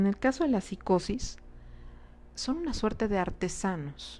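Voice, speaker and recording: Speaking very slowly, the woman keeps her intonation lively. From Mexico, Cuernavaca, Morelos. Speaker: psychologist / psychoanalytic speaker. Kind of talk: lecture. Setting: live online transmission. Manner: halting, many fillers and repetitions.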